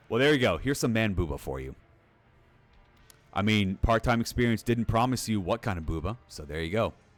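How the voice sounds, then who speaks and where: With music in the background, a man talks fairly quickly in a fairly low pitch, his animated tone and lively intonation marked by big swings in loudness and long, frequent pauses. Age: 30s. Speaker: game streamer. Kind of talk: live stream commentary.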